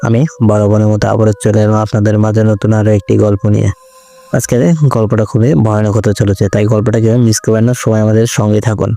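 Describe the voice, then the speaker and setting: Over noticeable background noise, a man speaks in a fairly low, monotone voice with flat intonation and very even loudness. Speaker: radio jockey, horror story narrator. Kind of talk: casual greeting to audience.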